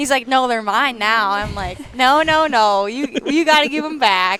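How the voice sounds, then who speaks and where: In a North Dakota accent, a woman speaks at a moderate pace with a high pitch, a bright, sharp tone and ordinary pitch variation. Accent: North Dakota accent, strong O vowels. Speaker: race car driver. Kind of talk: casual chat. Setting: live stream at a car show.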